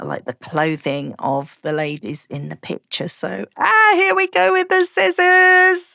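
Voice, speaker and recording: Speaking very slowly with a British accent, a woman is heard in a dry, close recording with no echo. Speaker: craft youtuber. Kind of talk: tutorial. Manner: casual, chatty.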